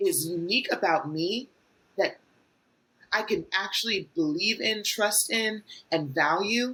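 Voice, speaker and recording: Loud and bright, a woman's sharp-toned voice comes through. She speaks at a very slow pace. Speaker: transformation coach. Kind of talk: casual chat.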